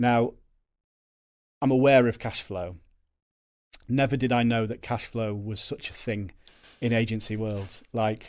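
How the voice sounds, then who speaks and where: A man's medium-pitched voice with a Yorkshire accent, fairly slow and fairly even, with long, frequent pauses, on a very clean recording with a silent background. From Yorkshire, northern England. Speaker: agency co-owner, salesman. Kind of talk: podcast interview. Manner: loud.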